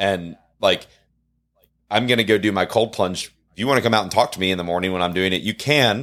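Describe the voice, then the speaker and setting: Fairly low in pitch, a man talks in a plain, everyday voice. His pace is fairly quick, with ordinary pitch variation. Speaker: podcast host. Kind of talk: casual interview chat.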